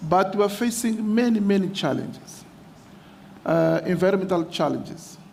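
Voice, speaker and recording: A man with a Portuguese accent speaks at a high pitch with fairly even intonation. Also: moderate pace. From Mozambique. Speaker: mayor. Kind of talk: conference speech. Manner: halting.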